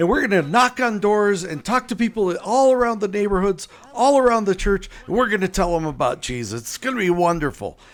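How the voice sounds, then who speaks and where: Speaking in a northern US accent, a man with a high pitch sounds animated and moves at a fairly quick pace. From US Midwest, Chicago. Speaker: author and evangelism teacher. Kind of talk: interview conversation. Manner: animated storytelling.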